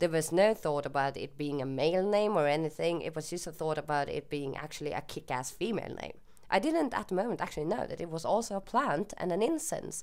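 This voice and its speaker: A woman with a Swedish accent at a very fast pace and fairly low pitch, with lively intonation and hardly any pauses. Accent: Swedish accent, often mistaken for German. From Sweden. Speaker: YouTuber. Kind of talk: casual Q&A monologue. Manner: hesitant, with fillers.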